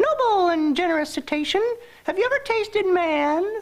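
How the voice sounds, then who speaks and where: A woman performs a put-on character voice at an extremely high pitch. Her pace is moderate. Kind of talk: formal, flowery. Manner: flattering, sly.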